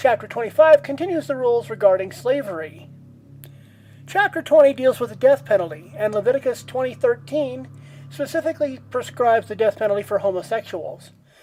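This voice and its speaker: Over music in the background, a woman talks at a fairly quick pace, her fairly high pitch swinging very widely. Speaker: atheist Bible study host. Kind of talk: casual commentary narration. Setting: home microphone with poor audio quality.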